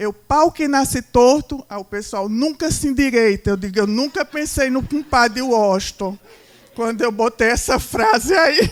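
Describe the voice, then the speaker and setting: Over noticeable background noise, a woman with a high pitch talks at a fairly slow pace with ordinary pitch variation. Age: 60s. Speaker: marketing speaker. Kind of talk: lecture.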